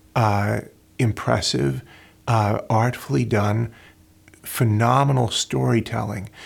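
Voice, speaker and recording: In a very clean recording with a silent background, a man with a fairly low pitch and vocal fry speaks at a fairly slow pace. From rural North Dakota. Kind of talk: casual interview conversation.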